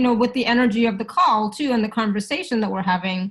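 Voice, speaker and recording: Here is a woman with a Canadian accent. Her pitch is high. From Canada. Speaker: facilitator. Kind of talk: live facilitation session. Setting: live video call. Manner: fast.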